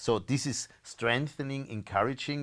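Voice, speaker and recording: A man with a German accent at a fairly slow pace, fairly even intonation, on a very clean recording with a silent background. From Austria. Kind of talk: interview. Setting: live stream. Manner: halting, frequent repetitions.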